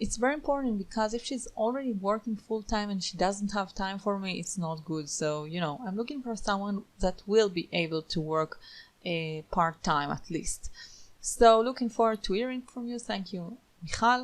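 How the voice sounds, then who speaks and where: A woman with a non-native accent, lively intonation and a moderate pace, on a very clean recording with a silent background. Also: medium pitch for a woman. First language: not English. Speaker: online course instructor. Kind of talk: screen-recorded tutorial. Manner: casual, with frequent fillers.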